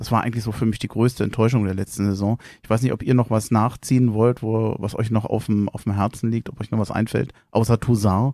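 A man talks at a fairly quick pace in a medium pitch, with monotone, flat intonation. The recording is very clean with a silent background and a dry, close sound with no echo. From Berlin (Tempelhof). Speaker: podcast host. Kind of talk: casual chat.

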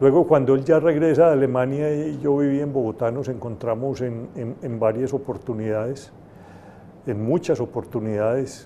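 Light background noise sits behind a man speaking at a moderate pace in a dark, mellow tone. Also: ordinary pitch variation. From Colombia. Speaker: university rector. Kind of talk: panel discussion. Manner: halting, many fillers. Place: classroom. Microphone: handheld.

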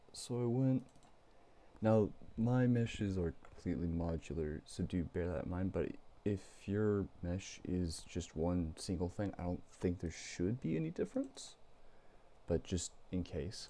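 A man speaks quietly at a fairly slow pace, his pitch very deep and low. His tone is dark and mellow, with ordinary pitch variation. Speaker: game developer. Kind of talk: software tutorial narration. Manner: low, quiet late-night voice.

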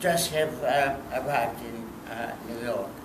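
Against noticeable background noise, a man talks in a fairly high pitch. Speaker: artist. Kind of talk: conversation at a public talk. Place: hall. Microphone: handheld.

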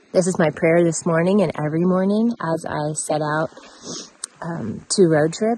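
Speaking at a moderate pace in a fairly low pitch, a woman is heard with light background noise and a dry sound with no echo. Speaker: travel vlogger. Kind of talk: casual vlog chat. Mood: reflective, calm. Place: open country. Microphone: phone near.

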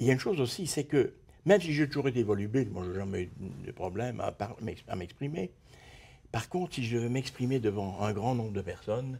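A man talks fairly quickly in a somewhat breathy voice. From Belgium (Brussels); Belgium. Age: 70s. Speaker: retired design teacher and visual artist; retired design teacher. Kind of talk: interview. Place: studio. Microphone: lapel.

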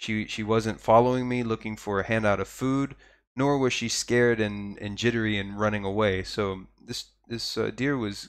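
On a very clean recording with a silent background, a man with an American accent speaks at a moderate pace and medium pitch with ordinary pitch variation. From Texas. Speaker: podcaster living abroad. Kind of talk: casual live-stream monologue. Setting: live stream with viewer chat. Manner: hesitant, many fillers and repeated words.

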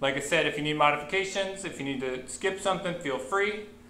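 Male speech at a moderate tempo, light background noise and audible room echo around it. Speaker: fitness instructor. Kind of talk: workout class instruction. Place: gym. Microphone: webcam.

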